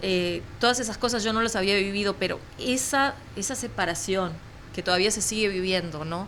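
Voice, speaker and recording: A woman's medium-pitched voice, at a moderate pace, carries audible room echo. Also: ordinary pitch variation. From Uruguay. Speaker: journalist. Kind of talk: interview conversation.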